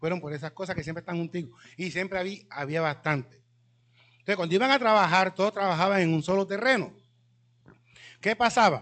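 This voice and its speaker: In a high pitch with an animated tone, a man talks at a fairly quick pace with ordinary pitch variation and long, frequent pauses. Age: 60s. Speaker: researcher and cultural speaker. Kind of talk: talk to a live audience. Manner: animated storytelling.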